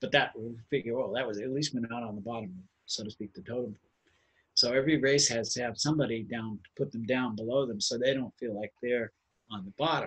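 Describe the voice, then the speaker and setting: Speaking very fast with an American accent, a man sounds somewhat breathy. His intonation stays fairly even while his loudness swings a lot. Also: medium pitch for a man, dry, close sound with no echo. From Cambridge, Massachusetts. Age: 60s. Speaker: racial justice activist. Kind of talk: personal storytelling at online gathering. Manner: conversational, with hesitations and repetitions.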